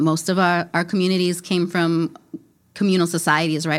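A woman talks at a fairly quick pace with an American accent. She has an unremarkable speaking voice, fairly low in pitch. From US Midwest, Minneapolis. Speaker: podcast host and farmer. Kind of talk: interview conversation. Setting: recorded in Minneapolis.

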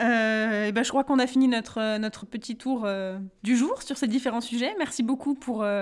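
Speaking at a moderate pace, a woman with a high pitch keeps her intonation fairly even. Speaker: podcast co-host. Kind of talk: casual chat.

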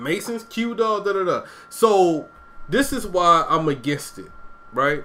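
A man with a high pitch raises and projects his voice in an animated tone, swinging very widely in pitch at a fairly slow pace. Long, frequent pauses break his speech, and noticeable background noise is present. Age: 30s. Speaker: podcast host. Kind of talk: casual chat.

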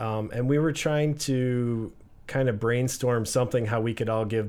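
A man with an unremarkable speaking voice, medium pitch, fairly even intonation and moderate pace. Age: 40s. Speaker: real estate broker and business owner. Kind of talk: casual interview. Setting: studio.

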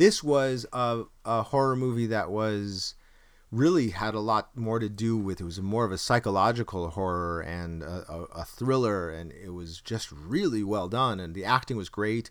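Recorded very cleanly with a silent background, a man speaks at a moderate pace with a fairly low pitch, ordinary pitch variation and big swings in loudness. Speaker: podcast host and actor. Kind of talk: casual banter podcast. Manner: hesitant, chatty, jokey.

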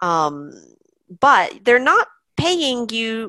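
Against a quiet background, a woman with a bright, sharp tone speaks at a fairly high pitch that swings very widely. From US. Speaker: online English teacher and business owner. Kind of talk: interview.

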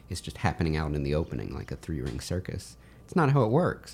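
A man with an American accent and vocal fry, talking at a fairly quick pace. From US South. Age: young. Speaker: independent film writer-director. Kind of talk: casual interview conversation.

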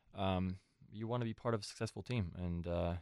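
A man's very deep, low voice, dark and mellow in tone, at a fairly quick pace, with a dry, close sound and no echo. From Switzerland, then San Francisco Bay Area from age 15. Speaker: professional soccer goalkeeper. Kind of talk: interview. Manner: halting, many fillers.

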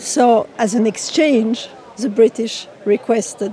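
Very slow speech in a French accent, with ordinary pitch variation and crowd noise in the background. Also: woman. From France. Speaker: war commemoration commissioner. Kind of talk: interview reflection.

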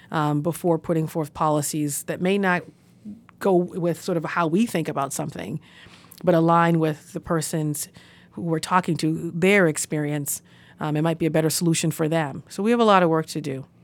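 On a very clean recording with a silent background, a woman with an American accent speaks at a moderate pace. She has an unremarkable speaking voice, fairly low-pitched, with fairly even intonation. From Boston. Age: 30s. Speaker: city council president. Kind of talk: interview.

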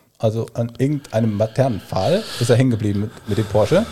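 A man speaks at a medium pitch with ordinary variation. His tone is dark and mellow, and somewhat breathy. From Koblenz / Westerwald area, Rhineland-Palatinate. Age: 30s. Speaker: nutrition consultant and trained chef. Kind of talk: casual podcast interview.

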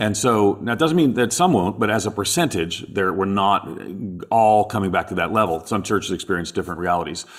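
An unremarkable speaking voice from a man, fairly low-pitched, fairly quick, with lively intonation. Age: 50s. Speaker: podcast co-host, theologian. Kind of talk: interview. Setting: remote recording from Australia.

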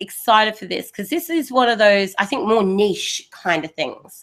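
A woman speaks with an Australian accent in a fairly high pitch. Her tone is bright and sharp, and her intonation is lively. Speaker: podcast host. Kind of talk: casual chat.

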